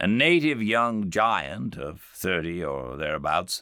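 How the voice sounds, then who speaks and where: Calm in tone yet bright and sharp, a man with a very deep, low pitch and vocal fry speaks very slowly with very wide pitch swings, in a very clean recording with a silent background. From England. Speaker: actor and audiobook narrator. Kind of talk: audiobook reading of classic literature. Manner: calm, measured.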